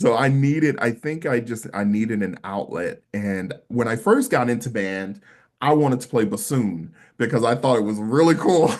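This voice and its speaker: Against a quiet background, a man with a medium-pitched voice and an American accent talks at a moderate pace with lively intonation. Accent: country accent, still comes out. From US South, Mississippi. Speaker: stage performer and singer. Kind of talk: casual interview chat.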